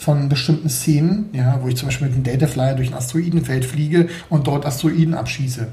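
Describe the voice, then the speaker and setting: Over noticeable background noise and audible room echo, a man talks at a fairly quick pace with a fairly high pitch and fairly even intonation. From Berlin, Germany. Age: 40s. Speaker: 3D graphics artist and indie game developer. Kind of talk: casual interview. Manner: hesitant, many fillers.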